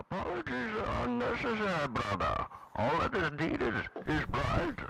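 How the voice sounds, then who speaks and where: A man's put-on character voice, high-pitched, gravelly and raised to project, at a moderate pace over light background noise. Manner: silly, gravelly villain voice.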